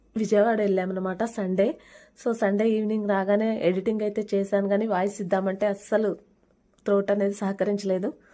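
On a very clean recording with a silent background, a woman speaks in a dark, mellow tone with very even loudness and monotone, flat intonation. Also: medium pitch for a woman. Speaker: vlogger. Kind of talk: vlog voice-over narration. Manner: casual, conversational.

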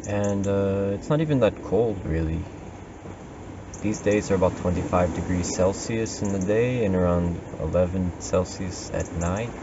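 A man's fairly low voice at a moderate pace with ordinary pitch variation, over noticeable background noise. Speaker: vlogger living in nature. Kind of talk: casual vlog chat. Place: open country. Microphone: camera far.

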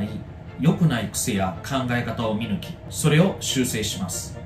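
A man at a fairly slow pace, pitch swinging very widely, with noticeable background noise. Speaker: tutor. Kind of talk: self-introduction promo to camera. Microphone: phone near.

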